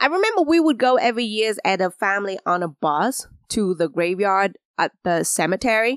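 A woman with a Vietnamese accent speaks at a moderate pace and medium pitch, her intonation lively and her loudness very even, in a dry, close sound with no echo. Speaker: podcast host. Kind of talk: solo storytelling monologue.

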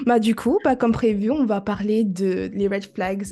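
A woman with a dark, mellow, somewhat breathy tone speaks at a medium pitch and a fairly slow pace, with fairly even intonation. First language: not French (speaking French). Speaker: podcast host. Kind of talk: monologue to listeners; casual chat. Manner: halting.

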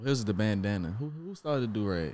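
This man has a fairly low pitch with ordinary pitch variation. He talks at a moderate pace. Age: 20s. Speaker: podcast co-host. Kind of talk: casual chat.

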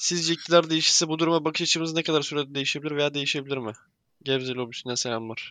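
Against a quiet background, a man with a fairly high, bright, sharp voice talks very fast with fairly even intonation. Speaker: podcast host. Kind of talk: casual chat.

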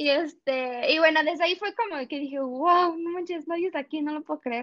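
Her intonation lively, a woman with a Mexican accent speaks at a moderate pace. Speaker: former student abroad. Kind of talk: casual interview.

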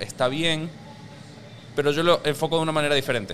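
Noticeable noise fills the background. Through it comes a man's voice. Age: 30s. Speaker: personal finance educator and podcaster. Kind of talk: casual interview chat. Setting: rooftop venue.

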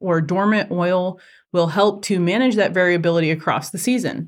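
An unremarkable speaking voice from a woman, medium in pitch with ordinary pitch variation and a moderate pace, in a very clean recording against a silent background. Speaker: entomology professor and podcast host. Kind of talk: scripted extension update.

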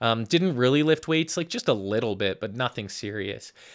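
Speaking in a Western Canadian accent, a man uses a medium pitch, ordinary pitch variation and a bright, sharp tone. He keeps a moderate pace on a very clean recording with a silent background. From Calgary, Alberta, Canada. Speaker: fitness coach and podcast host. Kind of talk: casual monologue. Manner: casual, with frequent filler words.

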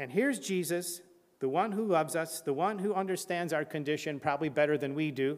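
A man's fairly quick delivery in a fairly high pitch, with ordinary pitch variation and an unremarkable speaking voice. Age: 60s. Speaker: preacher. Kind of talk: sermon.

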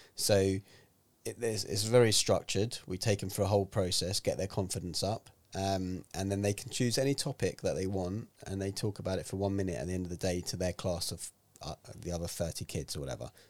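A man's very deep, low voice in a London accent, at a fairly quick pace with ordinary pitch variation, on a very clean recording with a silent background. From North London, England. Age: 40s. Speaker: health and fitness author and speaker. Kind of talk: casual chat. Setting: studio.

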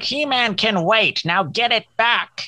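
Fairly slow delivery in a put-on character voice, pitched fairly high. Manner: commanding, bossy.

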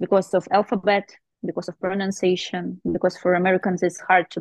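At a moderate pace, a woman talks at a medium pitch with vocal fry, in a dry, close sound with no echo. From Russia, small town. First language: Russian. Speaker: painter and tattoo artist. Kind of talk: interview. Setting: video call. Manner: halting.

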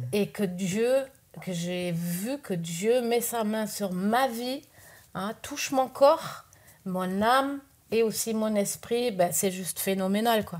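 A woman's fairly high voice at a very slow pace. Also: ordinary pitch variation. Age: 50s. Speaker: missionary. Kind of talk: testimony. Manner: halting.

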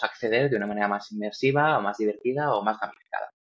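Using a plain, everyday voice, a man speaks at a fairly quick pace with fairly even intonation. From Spain, Valladolid. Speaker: tech entrepreneur. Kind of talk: interview.

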